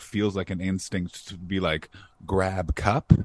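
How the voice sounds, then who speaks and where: A man is heard in a dry, close sound with no echo. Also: quiet background. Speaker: comedian. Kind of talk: casual chat.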